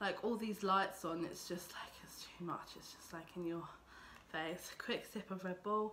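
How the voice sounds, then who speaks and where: Her intonation is monotone and flat. This woman talks at a fairly slow pace with an English accent. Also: medium pitch for a woman. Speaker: beauty vlogger. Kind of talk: makeup tutorial vlog. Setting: home filming with lights. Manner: casual, filler-heavy.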